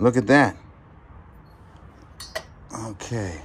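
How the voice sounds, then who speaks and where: Over light background noise, a man speaks at a fairly low pitch with ordinary pitch variation. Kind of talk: casual vlog commentary. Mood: excited, playful. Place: garage. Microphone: phone near.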